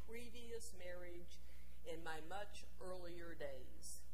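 Noticeable background noise fills the recording. A woman speaks at a very slow pace. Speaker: preacher. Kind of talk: sermon in first-person character voice. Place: church.

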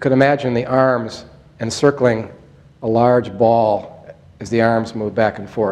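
The man's intonation is monotone and flat, and his pace is fairly slow. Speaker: movement instructor. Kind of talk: tutorial. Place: meeting room. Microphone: lapel.

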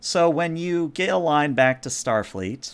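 With a clear, smooth tone, a man talks at a fairly slow pace and a fairly high pitch. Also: lively intonation.

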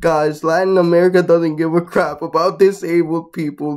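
Over a quiet background, a man with a high voice speaks at a moderate pace in monotone, flat intonation. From Guatemala. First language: Spanish. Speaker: YouTuber; vlogger. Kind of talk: casual vlog commentary. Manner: casual, with fillers. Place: home room. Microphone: webcam.

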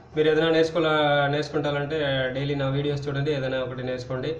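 Amid light background noise and audible room echo, a man speaks with fairly even intonation. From Tamil Nadu, India. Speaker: channel host. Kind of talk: casual talk to camera. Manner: hesitant, halting. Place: home room. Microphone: phone near.

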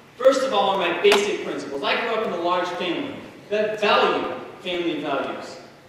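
With an American accent, a man speaks at a fairly quick pace and ordinary pitch variation amid noticeable background noise and strong room echo. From Indiana. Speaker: political candidate, firefighter. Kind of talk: campaign speech. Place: hall.

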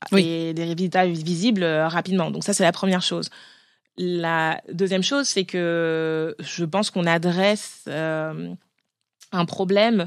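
Speaking very slowly, a woman uses a fairly low pitch and fairly even intonation on a very clean recording with a silent background. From France. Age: 30s. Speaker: cosmetics brand founder. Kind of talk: interview. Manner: hesitant, many fillers.

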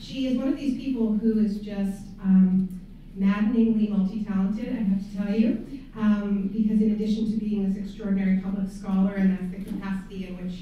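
A woman talks at a fairly quick pace in a flat, monotone delivery. Strong room echo surrounds her, with light background noise. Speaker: course instructor, event host. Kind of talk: introduction of a guest speaker. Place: hall.

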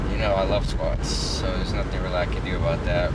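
Background noise is loud throughout. A man can be heard speaking over it. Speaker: fitness vlogger. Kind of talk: casual vlog chat. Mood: content, smiling. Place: car. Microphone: phone near.

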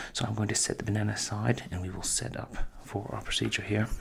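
Against light background noise, a soft-spoken man talks at a moderate pace in a fairly low voice. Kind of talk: soft-spoken roleplay narration. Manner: soft-spoken, slow clinical ASMR voice. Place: home room. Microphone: studio mic.

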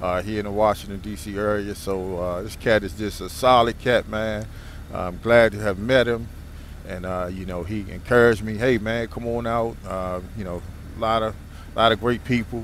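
Fairly low-pitched and at a moderate pace, a man with an unremarkable speaking voice talks with fairly even intonation in a dry sound with no echo over light background noise. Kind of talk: casual vlog chat. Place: motorbike. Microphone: helmet.

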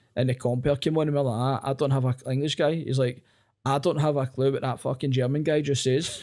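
With a Glaswegian accent, a man speaks at a fairly quick pace in a fairly high pitch, with a dark, mellow tone and very even loudness. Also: quiet background. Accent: Glaswegian Scottish. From Scotland, Glasgow area. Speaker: comedian. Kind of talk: casual chat. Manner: animated. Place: home room. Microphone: studio mic.

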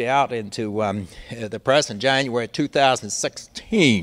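With ordinary pitch variation, a man talks in an American accent. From US Midwest. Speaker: law professor and former government ethics lawyer. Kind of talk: public lecture. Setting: library talk with live audience. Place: hall. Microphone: handheld.

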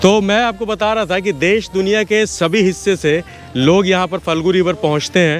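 Against faint background music, a man with a high pitch talks at a fairly slow pace with fairly even intonation, the sound dry with no echo. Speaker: travel vlogger. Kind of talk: casual vlog chat. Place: boat. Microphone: phone near.

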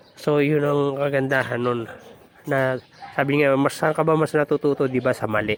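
Noticeable background noise sits under a voice that moves at a moderate pace with fairly even intonation. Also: man, fairly high pitch for a man. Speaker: vlogger raising birds and animals. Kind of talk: casual vlog narration. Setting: outdoors in backyard.

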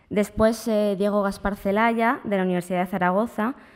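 A woman talks at a moderate pace, her intonation fairly even, with a quiet background behind her. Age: young. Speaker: predoctoral researcher, conference rapporteur. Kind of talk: conference summary talk. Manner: halting, with frequent repetitions. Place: hall. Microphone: podium.

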